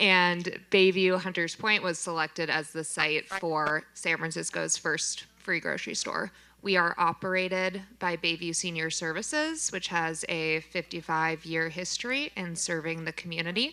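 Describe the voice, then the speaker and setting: A woman speaks at a moderate pace with hardly any pauses, her pitch fairly low. Her tone is bright and sharp, her intonation fairly even. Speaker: free grocery store program manager. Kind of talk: panel discussion.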